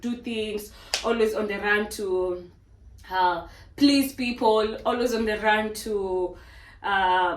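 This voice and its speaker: With audible room echo and noticeable background noise, a woman talks at a fairly high pitch with fairly even intonation. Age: 20s. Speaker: fitness trainer and vlogger. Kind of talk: casual motivational monologue.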